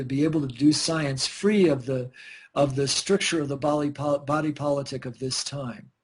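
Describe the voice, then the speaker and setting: A man with a fairly high pitch speaks in a somewhat breathy voice. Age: 60s. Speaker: scientist and researcher. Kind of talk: radio interview.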